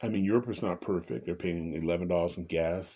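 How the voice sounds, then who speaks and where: A man speaks with an American accent. His pitch is very deep and low. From California, Bay Area. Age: 60s. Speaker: political commentator vlogger. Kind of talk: monologue. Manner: halting.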